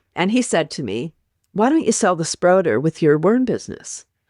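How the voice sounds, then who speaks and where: A woman's dark, mellow tone with very wide pitch swings, in a dry, close sound with no echo and a quiet background. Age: 60s. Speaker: health and wellness advocate. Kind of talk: interview. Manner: animated.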